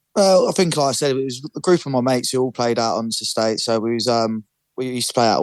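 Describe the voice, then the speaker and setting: A man with a London accent talks at a very fast pace. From North London. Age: 20s. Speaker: amateur footballer. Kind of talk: interview. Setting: radio show.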